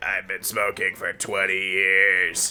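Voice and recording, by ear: A put-on character voice from a man, very deep and low in pitch, at a fairly slow pace.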